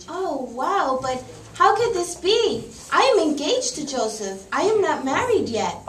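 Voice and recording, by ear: In a cartoonish character voice, a woman speaks fairly slowly with a high pitch, big pitch swings and a fairly bright tone, with audible room echo.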